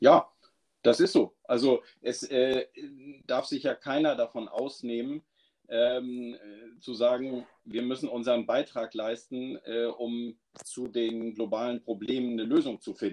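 Long, frequent pauses break up a man's fairly slow speech, delivered at medium pitch with monotone, flat intonation. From Schleswig-Holstein, northern Germany. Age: 40s. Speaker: forester and local politician. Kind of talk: casual interview. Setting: live remote call.

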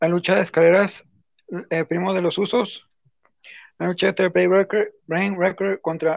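Against a quiet background, a man with a high pitch speaks at a fairly slow pace in a dry, close sound with no echo. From Mexico. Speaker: wrestling fan commentator. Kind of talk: casual chat.

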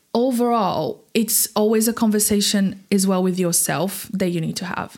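A woman with a Portuguese accent, medium pitch, ordinary pitch variation, and a fairly slow pace, on a very clean recording with a silent background. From Brazil. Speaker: singer. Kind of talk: interview.

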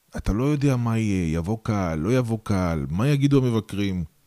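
A man's medium-pitched, dark and mellow voice with very wide pitch swings, in a dry, close sound with no echo on a very clean recording with a silent background. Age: 40s. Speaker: podcast host and stand-up comedian. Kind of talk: interview.

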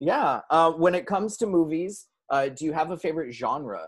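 A man with a fairly high pitch and a Californian accent. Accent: American (California). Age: 30s. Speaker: podcast host. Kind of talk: interview.

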